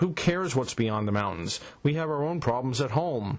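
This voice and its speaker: Putting on a character voice, a man speaks at a medium pitch and moderate pace with lively intonation. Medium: read story. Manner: anxious, complaining.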